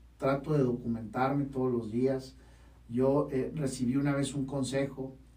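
Audible room echo surrounds a man's somewhat breathy voice, medium in pitch with a dark, mellow tone. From Baja California, Mexico. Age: 30s. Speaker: podcast host and university rector. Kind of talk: podcast monologue.

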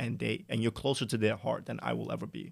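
Against a silent background on a very clean recording, a man talks at a medium pitch with vocal fry. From New York City (Staten Island). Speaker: Amazon wholesale seller. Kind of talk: interview.

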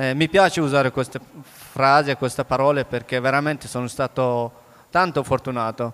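This is an unremarkable speaking voice with fairly even intonation, delivered at a moderate pace. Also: man. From Afghanistan. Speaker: author. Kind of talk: onstage book interview. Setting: stage with audience.

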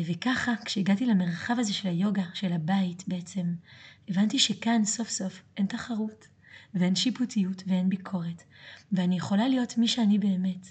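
Speaking at a moderate pace, a woman uses a medium pitch, a somewhat breathy voice and ordinary pitch variation. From France. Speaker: yoga teacher and podcast host. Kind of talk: monologue.

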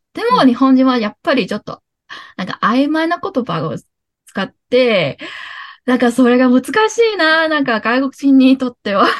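The voice moves at a moderate pace with lively intonation, the sound dry and close with no echo. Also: woman, high pitch for a woman. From Hong Kong. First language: Cantonese (speaking Japanese). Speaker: podcast guest, former sharehouse mate. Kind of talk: casual chat.

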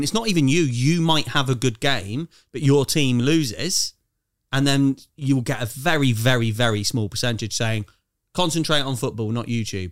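A man with an ordinary speaking voice of medium pitch and ordinary pitch variation, on a very clean recording with a silent background. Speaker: co-host. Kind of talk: casual chat.

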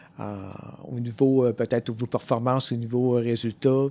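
A man speaks at a medium pitch with a Quebec accent and a dark, mellow tone. The sound is dry and close, with no echo. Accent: Québécois French. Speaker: podcast host. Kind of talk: casual interview. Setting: in person in Quebec.

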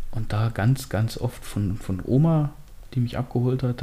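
A man at medium pitch, somewhat breathy, dark and mellow in tone, with ordinary pitch variation. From eastern Germany, Hoyerswerda (Lausitz, Saxony). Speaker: podcast co-host. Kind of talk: casual chat.

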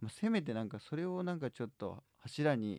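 A man's dark, mellow voice with very wide pitch swings at a moderate pace, dry and close with no echo. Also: quiet background. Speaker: music agency head and podcast host. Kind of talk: casual chat.

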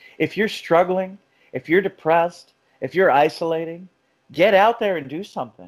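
This man has an unremarkable speaking voice with an American accent. His pitch is fairly high and his pace moderate. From South Florida. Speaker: podcast host, mental health worker. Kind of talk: casual chat.

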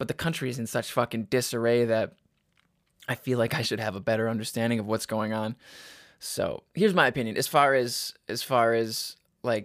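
This very clean recording has a silent background. The speaker is a man with a medium pitch. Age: 20s. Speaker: podcast host. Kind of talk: casual solo monologue. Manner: animated, profane and joking.

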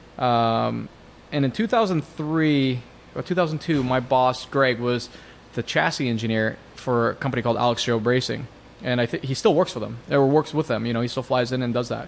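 This man has an ordinary speaking voice with an American accent. His medium-pitched delivery moves at a moderate pace with ordinary pitch variation. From US Pacific Northwest, Seattle area. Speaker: Porsche tuning shop owner. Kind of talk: casual interview.

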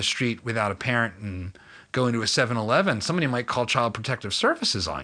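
A man with an American accent and a bright, sharp tone at a fairly quick pace. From Philadelphia. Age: 40s. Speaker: podcast host. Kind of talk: interview.

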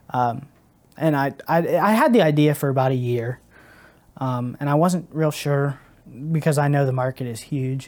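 A fairly high-pitched man with an American accent, at a moderate pace with ordinary pitch variation and long, frequent pauses. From US Midwest, southeastern Ohio. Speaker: angler and lure maker. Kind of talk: casual chat. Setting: studio.

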